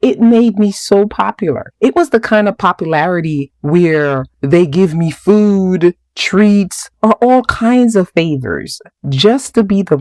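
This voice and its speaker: With a Jamaican accent and lively intonation, a woman speaks at a fairly slow pace and medium pitch, the sound dry and close with no echo. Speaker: podcast host. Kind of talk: podcast monologue. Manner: conversational.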